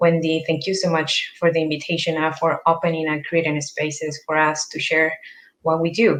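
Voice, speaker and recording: Speaking at a fairly quick pace, a woman has a fairly low pitch. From northern Chile. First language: Spanish. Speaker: land conservation program worker. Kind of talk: panel presentation.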